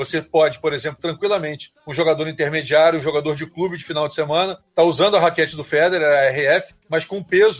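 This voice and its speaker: A man talks very fast at a fairly high pitch. His intonation stays fairly even. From Niterói, Rio de Janeiro, Brazil. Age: 50s. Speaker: tennis coach and TV commentator. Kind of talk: casual interview.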